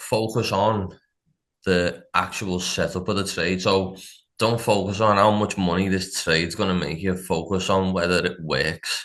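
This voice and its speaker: Over a quiet background, a man with a Liverpool accent speaks at a very deep, low pitch and a fairly slow pace, with fairly even intonation. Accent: Scouse. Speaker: funded trader. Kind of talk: casual interview chat.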